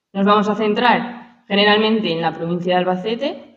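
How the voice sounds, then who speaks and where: Audible room echo fills the space. In it, a woman talks with ordinary pitch variation. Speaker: archaeologist. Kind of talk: lecture. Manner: fast.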